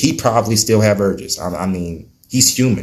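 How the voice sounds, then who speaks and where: Here a man talks at a moderate pace. His pitch is fairly low, with ordinary variation. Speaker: YouTuber vlogging about recovery. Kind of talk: casual personal vlog. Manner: animated, repetitive.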